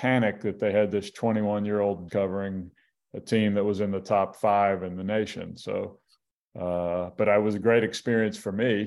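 In an American accent, a man talks at a moderate pace with a fairly low pitch and monotone, flat intonation. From US South, Mobile, Alabama. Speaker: sports journalist. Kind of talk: interview about grief and family.

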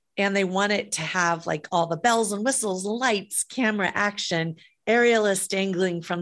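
A woman talks at a fairly slow pace in an unremarkable speaking voice, pitched at medium with ordinary pitch variation. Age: 50s. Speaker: event production company CEO and author. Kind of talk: interview. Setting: remote call.

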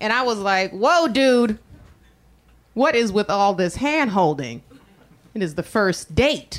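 Very slow delivery with long, frequent pauses and very wide pitch swings. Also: woman, fairly high pitch for a woman. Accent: American. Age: 30s. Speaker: stand-up comedian. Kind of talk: stand-up. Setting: stage with audience.

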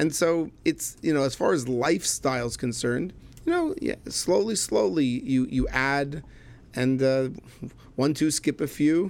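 This man speaks with a Canadian accent at a fairly high pitch. His pitch varies in an ordinary way. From Canada, Montreal. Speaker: chemistry professor and rabbi. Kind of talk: casual chat. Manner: animated.

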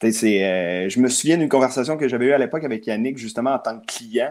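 A man at a medium pitch with a Quebec accent. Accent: Québécois French. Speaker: hockey card collector and hobby shop figure. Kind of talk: casual chat.

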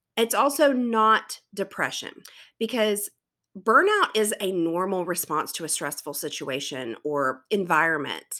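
A woman's medium-pitched, bright, sharp voice in a South Carolina accent, fairly slow with very wide pitch swings, on a very clean recording with a silent background. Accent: Southern US (South Carolina), fairly mild. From US South, South Carolina. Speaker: teacher and podcast host. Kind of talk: solo podcast monologue.

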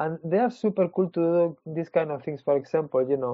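This man talks at a moderate pace in a fairly high pitch, with ordinary pitch variation and a Spanish accent. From Spain. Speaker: comic book artist. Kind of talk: casual interview. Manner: halting.

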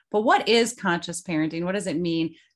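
A woman speaks with a Midwestern US accent. The background is quiet. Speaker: podcast host, parenting coach. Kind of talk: casual interview.

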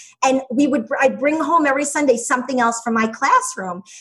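A woman speaks at a fairly quick pace. She has an ordinary speaking voice with fairly even intonation. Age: 40s. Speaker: education business founder, former teacher. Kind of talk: interview.

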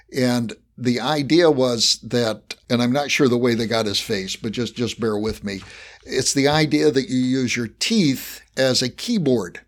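An ordinary speaking voice with ordinary pitch variation at a fairly slow pace, in a very clean recording with a silent background. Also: man, medium pitch for a man. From West Virginia, US. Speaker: podcast host and professor. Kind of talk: interview conversation.

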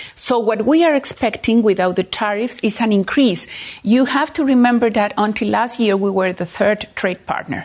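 With noticeable background noise, a woman speaks at a moderate pace and fairly high pitch, her pitch variation ordinary. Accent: Spanish. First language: Spanish. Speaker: diplomat. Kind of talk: political interview. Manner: halting.

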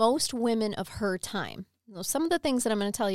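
A voice reads aloud naturally. Nothing stirs in the quiet background.

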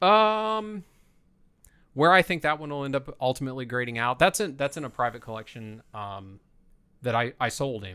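In a very clean recording with a silent background, a man with a Midwestern American accent and a bright, sharp tone speaks at a moderate pace and medium pitch, with very wide pitch swings and big swings in loudness. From northern Indiana, near Fort Wayne. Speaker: comic book dealer. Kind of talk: casual chat. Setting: home basement studio.

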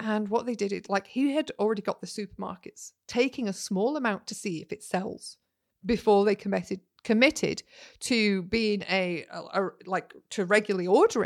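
With a Yorkshire accent, a woman speaks at a medium pitch and with ordinary pitch variation. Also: dry, close sound with no echo. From Yorkshire, northern England. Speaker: podcast host, business marketing coach. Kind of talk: solo podcast monologue, casual teaching. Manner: animated.

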